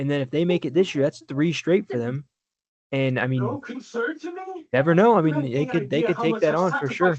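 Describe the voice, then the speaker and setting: At a moderate pace, a man speaks with a fairly high pitch and ordinary pitch variation, leaving long, frequent pauses. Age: 20s. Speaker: sports podcast co-host. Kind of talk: casual chat. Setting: home recording, no studio.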